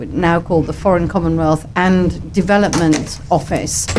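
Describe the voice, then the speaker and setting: A woman speaks with a fairly low pitch and fairly even intonation, keeping a moderate pace while noticeable background noise carries on behind her. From English Midlands, Bilston near Birmingham. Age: 60s. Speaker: governor, diplomat. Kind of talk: radio interview.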